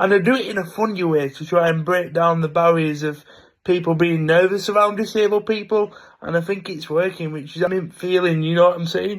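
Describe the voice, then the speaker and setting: A man with a high voice, talking at a fairly quick pace. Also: fairly even intonation. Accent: English. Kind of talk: casual vlog monologue. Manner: speaks freely and naturally.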